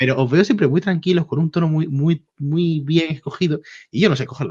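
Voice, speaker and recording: Calm in tone, a man speaks at a fairly quick pace. His pitch is fairly high and varies in an ordinary way. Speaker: YouTube interviewer. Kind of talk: interview. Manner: calm at first, then fast.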